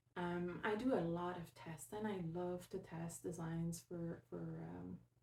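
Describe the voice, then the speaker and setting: A somewhat breathy woman's voice, fairly low in pitch, with a dark, mellow tone. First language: French. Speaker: knitting podcaster, test knitter. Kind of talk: casual podcast monologue. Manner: hesitant, many fillers.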